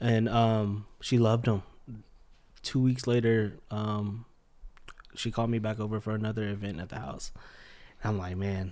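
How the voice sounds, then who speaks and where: The voice has a dark, mellow tone and fairly even intonation. It moves at a moderate pace, broken by long, frequent pauses. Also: man, fairly low pitch for a man. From Charlotte, North Carolina (born in Philippines). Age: 20s. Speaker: restaurant co-owner and bank project manager. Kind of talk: casual chat interview.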